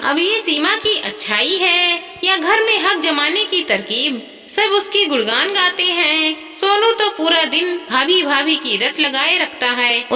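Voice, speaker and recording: Amid clear background noise, a woman with extremely high pitch speaks at a moderate pace. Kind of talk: moral story narration. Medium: read story. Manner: steady, gentle.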